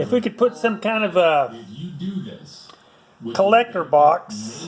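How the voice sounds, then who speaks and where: Very wide pitch swings mark this very slow delivery, heard over noticeable background noise. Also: man, high pitch for a man. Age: 70s. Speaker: motorcycle and car hobbyist. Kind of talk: casual workshop vlog. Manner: casual, rambling with fillers.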